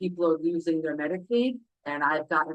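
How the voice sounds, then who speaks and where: This woman has a fairly low pitch. She speaks with a New York accent. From New York City (Brooklyn). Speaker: parent advocate. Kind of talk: self-introduction at public meeting. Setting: public council meeting. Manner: halting, many fillers.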